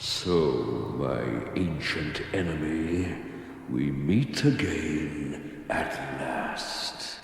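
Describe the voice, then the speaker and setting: Putting on a character voice, a man speaks at a very slow pace with a strong echo around him. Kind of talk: theatrical fantasy declamation. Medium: audio drama. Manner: commanding, archaic.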